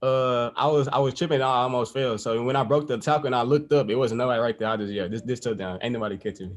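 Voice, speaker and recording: Speaking at a very fast pace with hardly any pauses, a man keeps a medium pitch and ordinary pitch variation. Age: young. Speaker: college football player. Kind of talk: press conference.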